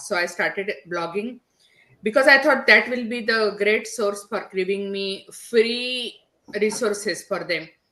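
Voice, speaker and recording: A woman speaks with a strong Indian accent. Her pace is fairly slow. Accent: heavy Indian. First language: not English (English is third language). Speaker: digital business strategist, podcaster. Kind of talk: podcast interview.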